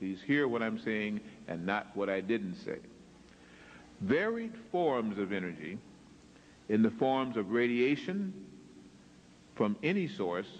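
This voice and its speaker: A man speaks at a fairly slow pace with long, frequent pauses. His pitch swings very widely, and the room echo is audible. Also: medium pitch for a man. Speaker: lecturer. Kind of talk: lecture.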